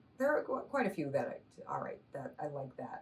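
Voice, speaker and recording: The speaker is a woman with an American accent. Her voice is somewhat breathy. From Massachusetts. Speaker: stand-up comedian. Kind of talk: interview answer.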